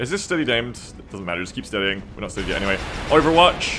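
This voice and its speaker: A man's voice with very wide pitch swings, music playing in the background. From Australia. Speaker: video game streamer. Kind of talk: live gameplay commentary and chat. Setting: live stream. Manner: casual, rambling with fillers.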